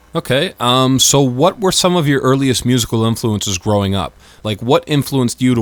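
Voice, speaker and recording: With lively intonation, a man talks at a fairly quick pace in a normal speaking voice. The recording is very clean and the background silent. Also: hardly any pauses. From Canada, Windsor Ontario. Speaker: radio host. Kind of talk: radio interview.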